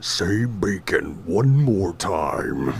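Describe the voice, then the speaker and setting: A man puts on a character voice with a fairly low pitch, and background noise is clearly present. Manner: gruff.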